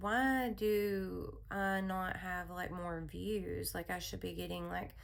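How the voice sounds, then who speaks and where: A woman at a very slow pace, amid noticeable background noise and audible room echo. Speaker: therapist and hypnotherapist. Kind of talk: spoken personal message. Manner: soothing; casual, with fillers.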